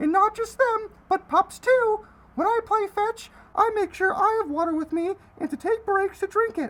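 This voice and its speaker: A cartoonish character voice from a woman, extremely high in pitch, at a moderate pace. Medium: puppet.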